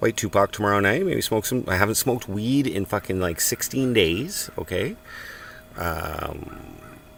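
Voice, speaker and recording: A man with a Canadian accent, fairly low in pitch, at a moderate pace with ordinary pitch variation, over noticeable background noise. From Canada, Cornwall, Ontario. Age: 40s. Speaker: live streamer. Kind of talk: casual chat. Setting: in a tent at a farm work site.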